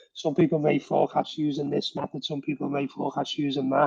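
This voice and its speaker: A man speaks in a dark, mellow tone. The sound is dry and close, with no echo and a quiet background. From northern England, Liverpool. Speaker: workforce management professional. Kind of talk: podcast interview.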